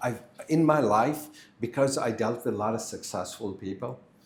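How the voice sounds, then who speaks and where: With audible room echo around him, a man of medium pitch talks at a fairly slow pace with ordinary pitch variation. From India (Kashmir). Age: 60s. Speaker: architect. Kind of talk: podcast interview.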